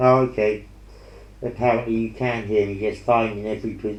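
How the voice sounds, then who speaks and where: There is audible room echo as a man mumbles at a moderate pace in a fairly low voice. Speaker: painter streaming while painting. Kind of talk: casual chat while painting. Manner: mumbling; hesitant, many fillers. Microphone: earpiece mic, sometimes muffled when head turned.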